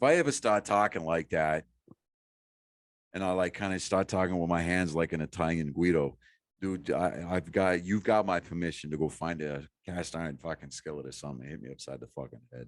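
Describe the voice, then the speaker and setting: A man with a Boston accent has a very deep, low pitch and ordinary pitch variation. He keeps a moderate pace against a quiet background. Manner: casual, profane.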